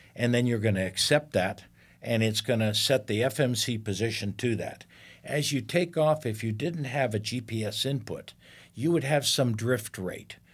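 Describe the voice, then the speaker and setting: A somewhat breathy voice with an American accent moves at a moderate pace over a very clean recording with a silent background. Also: man. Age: 70s. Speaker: retired airline captain and Navy fighter pilot. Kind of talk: interview. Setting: studio.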